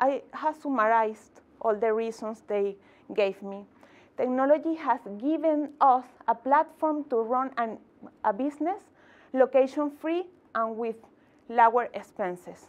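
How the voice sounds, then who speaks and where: A woman's high voice with ordinary pitch variation, at a fairly slow pace with long, frequent pauses. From Venezuela. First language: Spanish. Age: 30s. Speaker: tech entrepreneur and community founder; conference speaker. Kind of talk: inspirational talk. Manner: halting, with repetitions and fillers. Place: meeting room.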